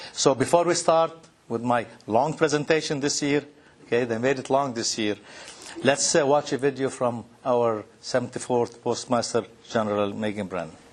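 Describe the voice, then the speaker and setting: A man's medium-pitched voice with a Lebanese accent, moderate pace and ordinary pitch variation, amid noticeable background noise. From Lebanon. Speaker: postal executive, speaker. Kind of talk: conference presentation. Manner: halting.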